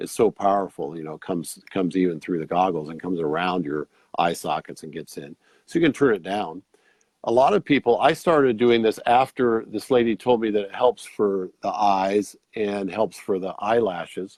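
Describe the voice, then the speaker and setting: In an unremarkable speaking voice, a man talks at a fairly quick pace and a fairly low pitch, with lively intonation and big swings in loudness, in a dry, close sound with no echo against a quiet background. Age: 60s. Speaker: red light therapy product seller. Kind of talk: product demonstration in a show interview. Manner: casual, conversational.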